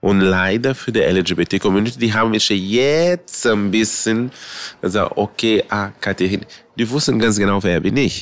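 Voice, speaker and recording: A man at fairly low pitch, moderate pace and ordinary pitch variation, in a dry, close sound with no echo. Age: 50s. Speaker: drag queen. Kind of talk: interview.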